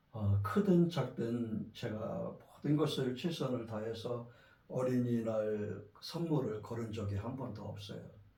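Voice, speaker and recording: The pace is very slow. Room echo is audible. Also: man. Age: 60s. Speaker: pastor. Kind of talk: sermon. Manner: halting.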